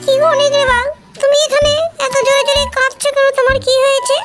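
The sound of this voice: A woman's cartoonish character voice at an extremely high pitch, moving at a moderate pace, with faint music in the background.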